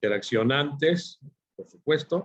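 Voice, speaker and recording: A man speaks with ordinary pitch variation. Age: 50s. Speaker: forecasting consultant and instructor. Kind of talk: online workshop lecture. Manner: halting, many fillers.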